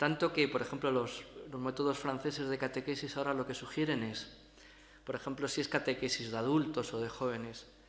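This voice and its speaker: A man at a medium pitch talks at a fairly quick pace in a flat, monotone intonation. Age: middle-aged. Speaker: priest and lecturer. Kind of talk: lecture. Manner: halting, with many repetitions and fillers.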